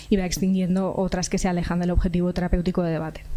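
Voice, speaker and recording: A soft-spoken woman, very fast, with a dark, mellow tone and audible room echo. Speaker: psychology researcher. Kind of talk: conference talk. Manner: halting. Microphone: too quiet at first, later fine.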